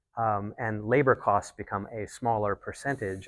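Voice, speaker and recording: A soft-spoken man at a fairly low pitch, with monotone, flat intonation, a moderate pace, and a very clean recording with a silent background. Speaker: climate tech banker. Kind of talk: panel discussion. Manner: halting.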